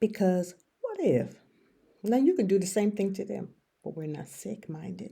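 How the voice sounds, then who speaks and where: A woman speaks at a medium pitch with lively intonation. Her tone is dark and mellow, and somewhat breathy. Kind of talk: casual monologue, encouragement. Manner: speaking quietly, not projecting; rambling, halting.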